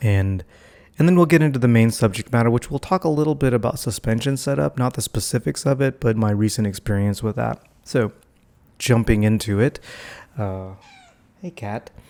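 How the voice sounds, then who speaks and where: Soft-spoken and dark, mellow in tone, a man talks at a fairly quick pace with long, frequent pauses on a very clean recording with a silent background. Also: medium pitch for a man, lively intonation. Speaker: vlogger. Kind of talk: casual vlog monologue. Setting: at home, family asleep. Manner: soft-spoken, talking quietly.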